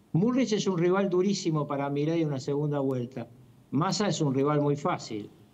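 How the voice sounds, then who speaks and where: With lively intonation and a fairly high pitch, a man talks at a moderate pace amid noticeable background noise. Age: 70s. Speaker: political commentator. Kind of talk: interview.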